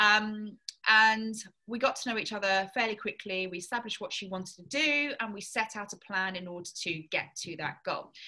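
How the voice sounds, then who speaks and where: A woman's fairly high, bright, sharp voice at a moderate pace, with ordinary pitch variation, big swings in loudness and a quiet background. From southern England. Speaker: fitness coach. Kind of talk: casual chat.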